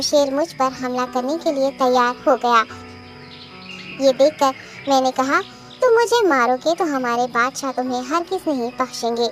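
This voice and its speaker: A cartoonish character voice that sounds female moves at a moderate pace over clear background music. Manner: polite, deferential.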